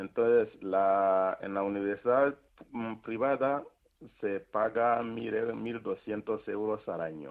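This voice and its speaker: Speaking very slowly, a man talks in a fairly low pitch. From Rwanda. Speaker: priest and charity founder. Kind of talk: radio interview.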